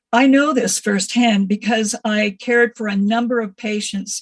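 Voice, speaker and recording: A woman speaks at a fairly high pitch and a moderate pace. Her intonation is monotone and flat. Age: 70s. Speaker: retired nurse, public commenter. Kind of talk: public hearing comment.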